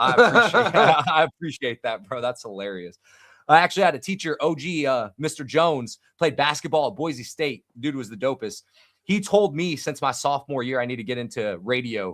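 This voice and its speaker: With an animated tone, a fairly high-pitched man makes very wide pitch swings in a very clean recording with a silent background. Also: moderate pace. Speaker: combat sports podcast co-host. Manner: excitable, animated.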